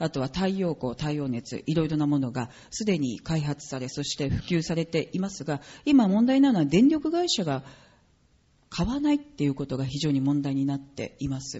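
A woman speaks at a moderate pace, somewhat breathy, with very wide pitch swings. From Japan. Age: 40s. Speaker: politician. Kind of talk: political speech. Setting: stage with audience.

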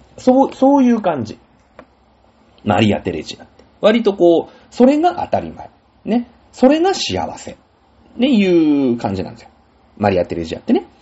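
The man keeps a moderate pace but leaves long, frequent pauses. His loudness swings widely. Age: 40s. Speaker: podcast host. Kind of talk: casual solo talk.

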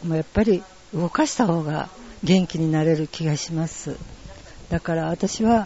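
Long, frequent pauses break up the speech. Noticeable background noise sits underneath. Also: moderate pace. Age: old. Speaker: tai chi club representative. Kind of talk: interview. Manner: halting.

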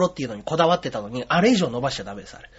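Over noticeable background noise, a man speaks with very wide swings in pitch. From Osaka, later Yokohama. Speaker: comedian. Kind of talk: interview.

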